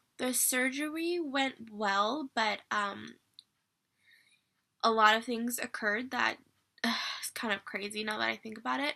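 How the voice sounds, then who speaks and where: A woman speaks at a fairly slow pace, her fairly high voice bright and sharp in tone. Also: very clean recording, silent background. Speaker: vlogger sharing surgery recovery. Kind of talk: casual vlog update. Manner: casual with filler words.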